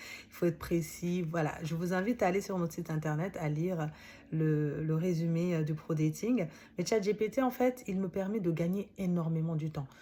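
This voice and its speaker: Speaking at a moderate pace with a non-native accent, a woman has a fairly low, somewhat breathy voice, a dark, mellow tone and ordinary pitch variation. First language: not French (speaking French). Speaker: author and coach. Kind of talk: book summary talk, casual monologue. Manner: hesitant, many fillers.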